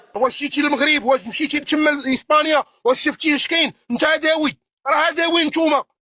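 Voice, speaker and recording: This man's voice is raised and projected, extremely high in pitch with ordinary pitch variation and a bright, sharp tone. He keeps a moderate pace at very even loudness, in a dry, close sound with no echo. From Morocco, Tetouan. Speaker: caller. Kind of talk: heated debate.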